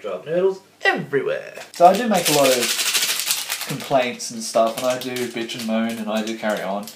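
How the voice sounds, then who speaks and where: There is audible room echo and light background noise as a man speaks. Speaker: vlogger. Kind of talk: casual vlog chat. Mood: ranting, mildly annoyed. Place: kitchen. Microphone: camera far.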